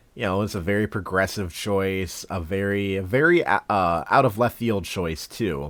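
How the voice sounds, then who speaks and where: Fairly low for a man, this male voice moves at a fairly slow pace with ordinary pitch variation. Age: 20s. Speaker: podcast host. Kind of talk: casual chat. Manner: halting, many fillers and restarts.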